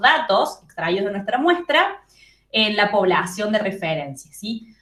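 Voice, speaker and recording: A woman with a strong Córdoba Argentine accent, lively intonation and a moderate pace. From Argentina, Córdoba. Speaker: psychology tutor. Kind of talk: study group review session.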